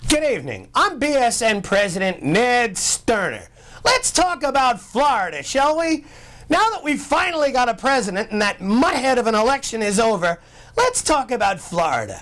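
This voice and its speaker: Putting on a character voice, a man sounds gruff at an extremely high pitch with very wide pitch swings and very even loudness, talking at a moderate pace over light background noise. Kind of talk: TV editorial. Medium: comedy sketch. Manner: gruff, ranting, exasperated.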